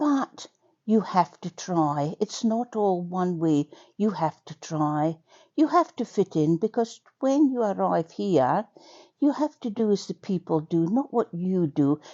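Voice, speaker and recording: A woman speaks at a fairly slow pace with very wide pitch swings. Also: medium pitch for a woman. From Scotland. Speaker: community radio broadcaster. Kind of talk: personal testimony. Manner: chatty with many fillers.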